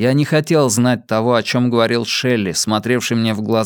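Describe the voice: Fairly even intonation in plain reading aloud.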